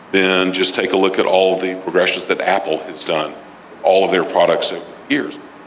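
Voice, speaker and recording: The speech moves at a moderate pace. Audible room echo and noticeable background noise accompany it. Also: man. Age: 60s. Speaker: business mentor and author. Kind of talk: interview.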